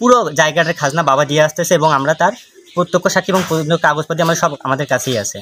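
Pitch moves in an ordinary way, and the sound is dry with no echo. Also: man, fairly high pitch for a man. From northern Bangladesh. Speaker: son of a persecuted landowner. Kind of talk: testimony. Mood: earnest, aggrieved. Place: open country. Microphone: phone near.

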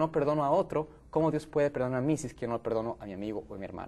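Talking at a very fast pace, a man with a fairly high voice uses ordinary pitch variation. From Ecuador, Quito. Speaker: educator and evangelist. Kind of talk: panel discussion. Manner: halting. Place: studio. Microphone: lapel.

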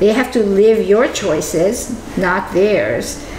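Noticeable background noise sits behind a woman speaking with ordinary pitch variation. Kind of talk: casual conversation. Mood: reflective, warm. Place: kitchen. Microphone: camera far.

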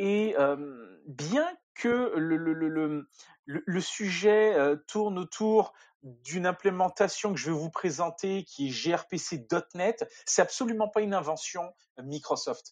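This man talks very slowly. His voice sits high in pitch. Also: ordinary pitch variation, quiet background. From France, near Paris. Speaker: software developer. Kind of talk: technical interview.

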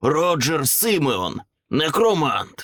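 Using a put-on character voice, a man speaks at a fairly high pitch that swings very widely. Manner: mocking.

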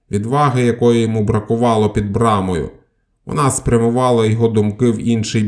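A natural reading voice carries fairly even intonation. Behind it, the background stays quiet.

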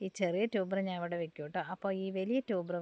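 A woman's normal speaking voice at a medium pitch, in a dry, close sound with no echo and a quiet background. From Kerala, Kozhikode. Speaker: plant seller and vlogger. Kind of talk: sales pitch. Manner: casual chatty.

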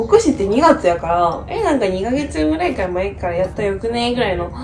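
A woman at a fairly quick pace, with faint music in the background. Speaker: medical student vlogger. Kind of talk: casual vlog chat. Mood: relaxed, reflective, sleepy morning. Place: home room. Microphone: phone near.

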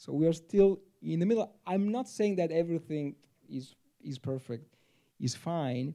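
A man speaks with an Italian accent at a moderate pace. His intonation is lively. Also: quiet background. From Italy. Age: 40s. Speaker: theology professor. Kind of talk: panel discussion. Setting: stage with audience. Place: hall. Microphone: handheld.

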